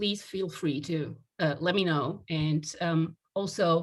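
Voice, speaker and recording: In a very clean recording with a silent background, a woman's somewhat breathy, fairly low voice moves with ordinary pitch variation. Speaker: sociology professor. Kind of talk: academic lecture.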